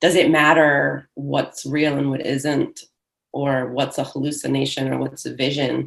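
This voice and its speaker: With a Michigan accent, a woman speaks at a fairly slow pace. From Michigan, US. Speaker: poet. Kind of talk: panel discussion. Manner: halting, many fillers.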